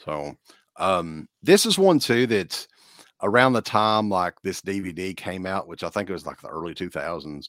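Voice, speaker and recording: In an Appalachian accent, a man with a very deep, low pitch talks at a moderate pace, his loudness swinging widely, in a dry, close sound with no echo. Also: ordinary pitch variation. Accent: Appalachian Southern US. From eastern Kentucky. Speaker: horror podcast host. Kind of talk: casual chat.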